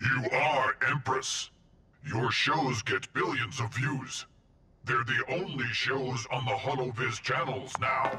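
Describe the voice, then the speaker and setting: In a cartoonish character voice, a man speaks at a fairly slow pace with a medium pitch and monotone, flat intonation. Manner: formal, mechanical.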